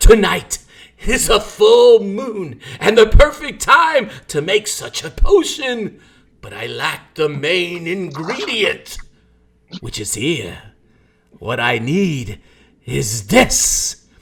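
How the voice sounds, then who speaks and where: A man performs a put-on character voice with a theatrical tone and a high pitch. He goes at a very slow pace with big swings in loudness. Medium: actual play. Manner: ranting, theatrical.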